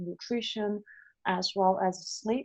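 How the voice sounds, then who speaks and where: This woman has a non-native accent and a medium pitch. She speaks at a fairly slow pace. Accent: non-native speaker of English. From China. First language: Chinese. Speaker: epidemiologist. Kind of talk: lecture. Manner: halting, many fillers.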